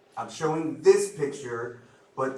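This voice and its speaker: Noticeable background noise and audible room echo surround a man's voice. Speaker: medical lecturer. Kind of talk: lecture. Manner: loud; many filler ums.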